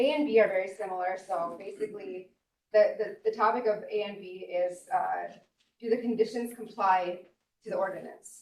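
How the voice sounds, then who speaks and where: Soft-spoken, a woman talks at a medium pitch with fairly even intonation and big swings in loudness. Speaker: local resident appellant, military veteran. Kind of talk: public hearing testimony. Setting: public board hearing. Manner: fast.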